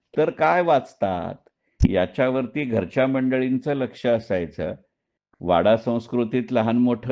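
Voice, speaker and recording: An ordinary speaking voice comes through at very even loudness. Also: man. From Dombivli, Maharashtra, India. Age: 60s. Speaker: retired stock market professional and writer. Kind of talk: personal monologue audio recording.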